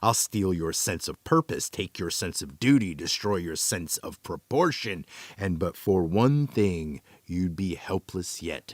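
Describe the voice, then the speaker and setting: Putting on a character voice, a man cackles with a very deep, low pitch, lively intonation and a fairly slow pace. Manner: gleeful, cackling.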